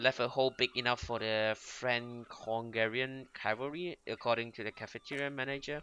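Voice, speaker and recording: A man with a Mandarin accent speaks at a medium pitch with a bright, sharp tone. His pace is moderate, his intonation fairly even, with hardly any pauses. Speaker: gaming youtuber. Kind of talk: let's play commentary, reading game text aloud. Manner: halting, frequent self-corrections.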